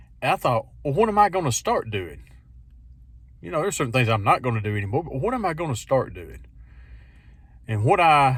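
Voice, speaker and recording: This somewhat breathy voice moves through very wide pitch swings. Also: man. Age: 50s. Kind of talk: casual talk to camera. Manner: reflective, conversational.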